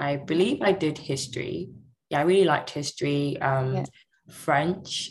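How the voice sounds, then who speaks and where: A woman in a London accent speaks at a moderate pace, her pitch very deep and low with ordinary variation. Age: 20s. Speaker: cloud architect apprentice. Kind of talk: interview.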